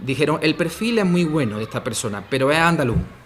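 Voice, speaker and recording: A man keeps a moderate pace and ordinary pitch variation while noticeable background noise runs underneath. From Andalusia, Spain. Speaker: language teacher and philologist. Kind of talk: interview. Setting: school radio studio. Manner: frequent fillers (¿vale?, eh).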